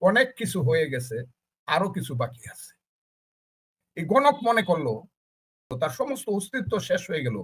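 Bright and sharp in tone, a man's high-pitched voice swings very widely in pitch. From Bangladesh, Kishoreganj (Itna). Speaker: politician and war veteran. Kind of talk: talk show interview. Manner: animated.

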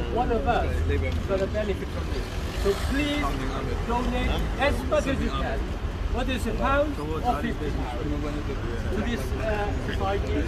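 A man at a moderate pace with long, frequent pauses, crowd noise in the background. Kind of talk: public address speech. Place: street. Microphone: camera far.

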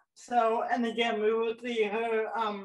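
Audible room echo comes through over a quiet background. A woman with a fairly high pitch talks at a fairly slow pace with fairly even intonation. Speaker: actress and director; actress. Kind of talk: virtual panel, introducing films. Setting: video call. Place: home room.

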